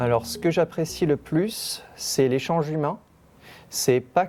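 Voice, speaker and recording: This man's voice has a dark, mellow tone and sits fairly high in pitch for a man. His intonation is lively. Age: 20s. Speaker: citizen council member. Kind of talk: interview testimony.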